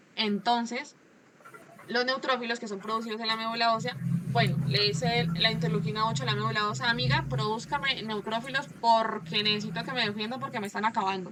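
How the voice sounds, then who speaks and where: A woman's fairly high voice, fairly quick and lively in intonation. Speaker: medical student presenting. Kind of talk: class presentation over video call. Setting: video call with screen share. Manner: fast.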